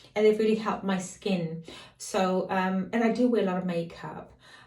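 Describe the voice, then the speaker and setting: Over noticeable background noise and audible room echo, a woman talks at a moderate pace, her medium pitch moving with ordinary variation. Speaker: lifestyle and fashion vlogger. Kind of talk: beauty tutorial. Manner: casual, chatty.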